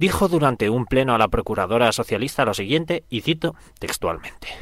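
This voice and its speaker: At a fairly quick pace, a man with a plain, everyday voice speaks with lively intonation on a very clean recording with a silent background. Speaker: comedy radio contributor. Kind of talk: satirical scripted segment.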